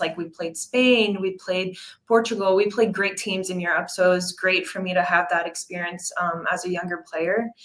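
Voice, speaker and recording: In a Quebec accent, a woman talks at a moderate pace and a medium pitch. Her intonation stays fairly even. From Quebec, Montreal. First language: French. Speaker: professional soccer player. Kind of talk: interview.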